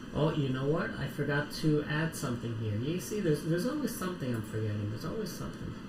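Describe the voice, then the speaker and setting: Excited and very fast with hardly any pauses, a man's voice swings very widely in pitch amid noticeable background noise and audible room echo. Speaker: live streamer building lego. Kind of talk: casual livestream chat. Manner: quiet unless excited.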